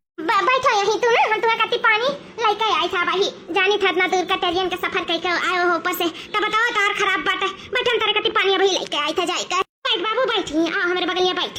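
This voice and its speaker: This cartoonish character voice races along at a very fast pace, with very even loudness and ordinary pitch variation. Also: woman, extremely high pitch for a woman. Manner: fast, chattering.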